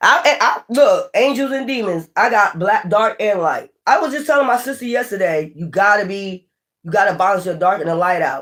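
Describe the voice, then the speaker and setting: Loud and animated, a woman speaks at a medium pitch and moderate pace with very wide pitch swings and hardly any pauses. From Philadelphia, US. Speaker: tarot reader, channel host. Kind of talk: casual livestream chat.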